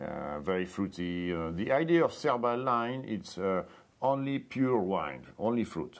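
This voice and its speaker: A man with a French accent speaks fairly slowly at a fairly low pitch. His pitch swings very widely. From France. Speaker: winemaker. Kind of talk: interview. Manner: halting, hesitant.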